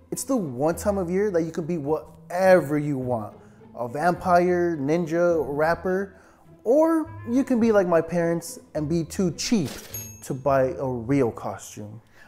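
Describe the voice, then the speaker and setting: Faint music plays in the background as a man speaks. His pitch is high and his pace fairly slow. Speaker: comedy sketch creator. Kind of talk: comedic sketch acting and narration. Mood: exasperated comedic complaining.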